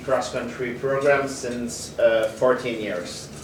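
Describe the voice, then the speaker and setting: Over noticeable background noise, a man speaks at a fairly slow pace with a medium pitch. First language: French. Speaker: athletics coach. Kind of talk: conference presentation. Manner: halting.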